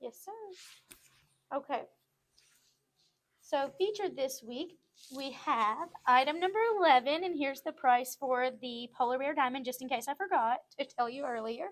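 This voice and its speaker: In a Southern US accent, a woman with a high pitch and ordinary pitch variation speaks at a moderate pace, with long, frequent pauses. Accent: Southern-sounding. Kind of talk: live sales show.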